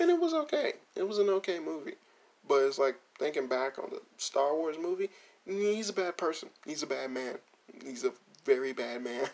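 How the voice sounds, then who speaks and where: This soft-spoken voice comes with long, frequent pauses. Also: moderate pace. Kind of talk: casual chat.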